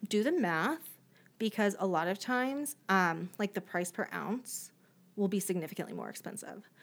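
In a very clean recording with a silent background, a woman speaks at a medium pitch and moderate pace with lively intonation and vocal fry. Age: 30s. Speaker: podcast co-host. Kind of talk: casual chat. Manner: animated.

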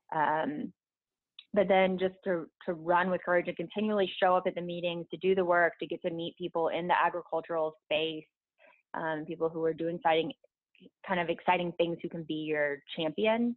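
A woman with an unremarkable speaking voice, a fairly low pitch and fairly even intonation. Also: moderate pace. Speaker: elected local official. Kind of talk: interview.

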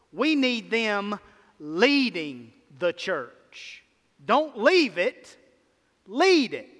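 In a Mississippi accent, the speaker talks at a very slow pace with long, frequent pauses and very wide pitch swings. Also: man, high pitch for a man. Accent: Mississippi drawl. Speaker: pastor. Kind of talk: sermon. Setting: church. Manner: animated.

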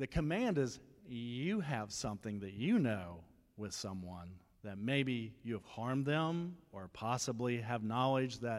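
In a very clean recording with a silent background, a man talks fairly slowly at a medium pitch in a plain, everyday voice. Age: 50s. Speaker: guest preacher. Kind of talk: sermon.

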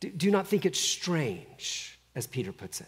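Talking at a fairly slow pace with vocal fry and very wide pitch swings, a man comes through on a very clean recording against a silent background. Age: 50s. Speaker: pastor. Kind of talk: sermon. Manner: halting.

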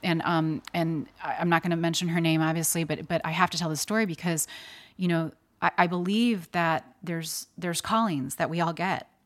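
An unremarkable speaking voice from a woman with an American accent, fairly low in pitch, at a fairly quick pace with fairly even intonation, on a very clean recording with a silent background. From US Midwest (Chicago). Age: 40s. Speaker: model, actor and animal activist. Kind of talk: casual interview.

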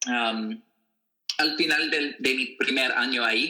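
A man with an American accent talks at a fairly slow pace, his medium-pitched voice bright and sharp in tone. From US Midwest, Wichita, Kansas. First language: English (speaking Spanish). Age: 20s. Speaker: author and activist. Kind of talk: interview. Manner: halting, many fillers.

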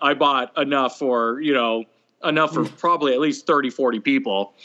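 The talking goes at a moderate speed. It is a normal speaking voice. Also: man. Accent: American. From California. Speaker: barbecue caterer. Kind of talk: casual chat.

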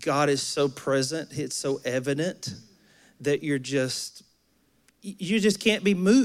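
Speaking at a fairly slow pace, a man uses lively intonation in a fairly high voice. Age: 40s. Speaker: pastor. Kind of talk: sermon. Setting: church. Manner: animated.

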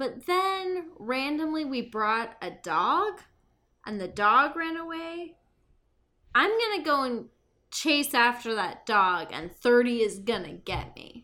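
On a very clean recording with a silent background, a woman speaks very slowly in a high, raised, projected voice with a bright, sharp tone. Her pitch swings very widely and her loudness shifts greatly. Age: 20s. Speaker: podcast co-host, writer. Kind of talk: casual chat.

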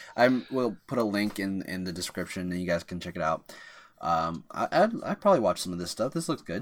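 In a very clean recording with a silent background, a man with a normal speaking voice and fairly low pitch talks fairly quickly with lively intonation. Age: 30s. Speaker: podcast co-host. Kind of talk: casual chat.

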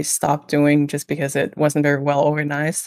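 Someone with a Danish accent speaks at a moderate pace in a very clean recording with a silent background. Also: woman. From Denmark, small village. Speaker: illustrator. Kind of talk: interview.

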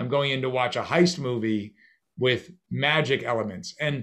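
A man speaks at a moderate pace in a medium pitch with ordinary pitch variation. He has an ordinary speaking voice. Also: quiet background. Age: 50s. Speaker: magician and actor. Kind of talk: interview.

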